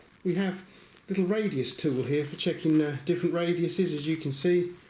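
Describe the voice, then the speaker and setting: A man with an English accent speaks fairly quickly in a high-pitched, dark, mellow tone, with ordinary pitch variation and audible room echo. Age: 60s. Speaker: YouTuber reviewing secondhand tools. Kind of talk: casual vlog talk to camera. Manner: chatty, hesitant with fillers.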